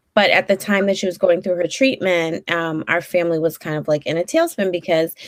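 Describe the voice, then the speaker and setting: A woman talks in a Brooklyn accent. Her intonation stays fairly even. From New York, Brooklyn. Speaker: therapist. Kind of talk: interview. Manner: many fillers, hesitant.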